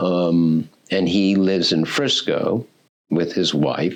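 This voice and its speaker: A man talks in a very deep, low pitch with fairly even intonation. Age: 70s. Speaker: history professor. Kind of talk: oral history interview. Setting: university hall room. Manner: halting.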